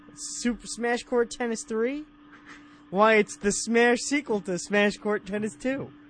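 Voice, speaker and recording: An American accent at a fairly slow pace, with noticeable background noise. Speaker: guest video game podcaster. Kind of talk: casual banter. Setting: remote call.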